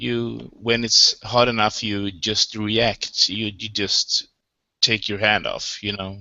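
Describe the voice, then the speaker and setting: Speaking with a Swedish accent, a man goes at a very slow pace. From Sweden. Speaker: participant. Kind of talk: philosophical discussion. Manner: halting.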